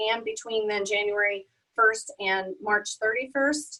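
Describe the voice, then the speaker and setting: A woman speaks in a plain, everyday voice with fairly high pitch. Her pace is moderate and her pitch variation ordinary. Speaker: accountant presenting a webinar. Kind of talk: webinar presentation.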